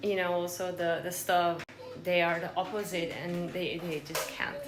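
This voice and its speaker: A woman with a non-native accent speaks at a fairly slow pace. Audible room echo and noticeable background noise surround her. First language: not English. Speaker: fitness vlogger. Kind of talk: casual vlog talk. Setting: at home in kitchen. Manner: hesitant, many fillers.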